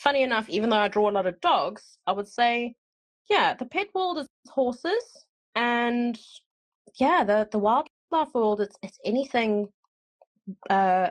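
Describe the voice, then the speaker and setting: Taking long, frequent pauses, a woman with a slight South African accent speaks at a high pitch and a fairly slow pace with lively intonation, the sound dry and close with no echo. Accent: slight South African twang. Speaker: podcast host and animal artist. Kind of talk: casual interview chat.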